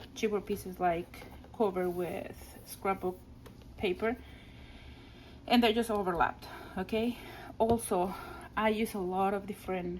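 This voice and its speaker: Speaking in a Spanish accent, a woman keeps a medium pitch and a moderate pace with fairly even intonation. Long, frequent pauses break up her speech. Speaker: scrapbooking crafter. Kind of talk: craft album flip-through. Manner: casual, hesitant with fillers and restarts.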